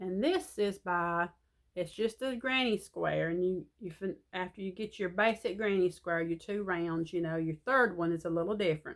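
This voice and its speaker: In a Southern US accent, a woman speaks at a medium pitch with ordinary pitch variation. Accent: Southern drawl. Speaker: crochet vlogger. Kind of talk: casual chat.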